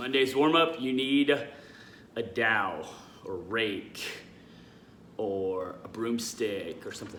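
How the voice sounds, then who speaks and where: A man talks with ordinary pitch variation. Audible room echo and light background noise are present. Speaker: CrossFit coach; fitness coach. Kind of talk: workout tutorial. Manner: fast; casual, conversational. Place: garage. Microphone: phone near.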